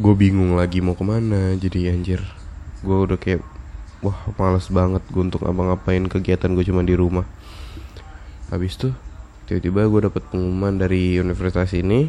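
A man talks at a moderate pace. His voice sits very deep and low. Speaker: podcast host. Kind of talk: casual monologue, storytelling.

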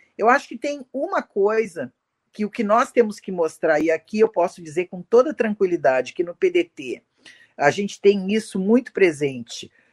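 Recorded with a dry, close sound and no echo, a woman talks at a moderate pace and a medium pitch, her voice making very wide pitch swings. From Rio Grande do Sul, Brazil. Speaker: women's wing leader of a political party. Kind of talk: political live discussion.

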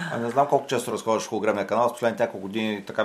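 Very fast speech from a man with a fairly low pitch. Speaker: sports podcast host. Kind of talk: interview. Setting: studio.

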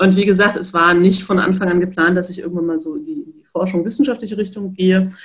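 Talking at a very fast pace, a woman with a medium-pitched, somewhat breathy voice shows ordinary pitch variation and big swings in loudness. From North Rhine-Westphalia, near Dortmund. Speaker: physiotherapist and professor. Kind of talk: interview.

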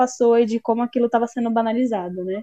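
A dry, close sound without echo carries a dark, mellow tone. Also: woman. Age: 20s. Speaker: actress and musician, new podcast co-host. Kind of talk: casual chat.

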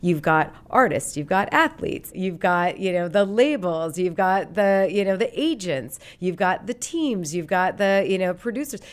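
A woman in a normal speaking voice, with lively intonation, a moderate pace, hardly any pauses, and a very clean recording with a silent background. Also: medium pitch for a woman. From Montana, Great Falls. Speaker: sports league marketing executive. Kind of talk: interview.

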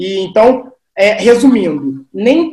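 With a high pitch and very wide pitch swings, a man speaks in a dark, mellow tone. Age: 30s. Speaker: sales consultant. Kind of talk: podcast interview.

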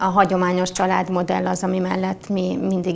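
With vocal fry and a monotone, flat intonation, a woman speaks at a moderate pace and a medium pitch. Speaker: politician. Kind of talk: debate.

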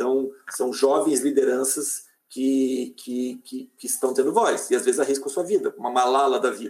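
A man talks in an ordinary speaking voice at a medium pitch with ordinary pitch variation. He keeps a moderate pace with hardly any pauses. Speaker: head of digital engagement at an international agency. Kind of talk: live-stream interview.

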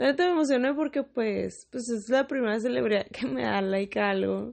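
This woman talks at a moderate pace. She speaks with a northern Mexican accent. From Mexicali, Baja California, northern Mexico. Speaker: podcaster. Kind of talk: casual monologue. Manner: casual, with many fillers.

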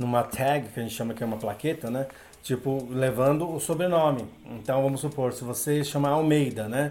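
A man with an ordinary speaking voice, medium pitch, fairly even intonation and a fairly quick pace. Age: 40s. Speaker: language teacher. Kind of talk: casual interview.

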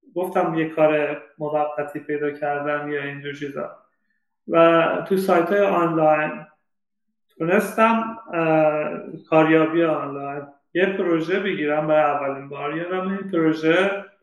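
Fairly even intonation at a fairly slow pace, with long, frequent pauses. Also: man, fairly high pitch for a man. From Iran, Shiraz. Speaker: data scientist. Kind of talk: interview.

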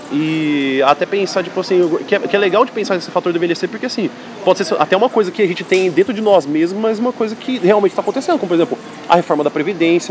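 A woman's very fast, lively speech at a medium pitch, over noticeable background noise. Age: 20s. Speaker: writing teacher and podcast host. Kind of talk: casual chat.

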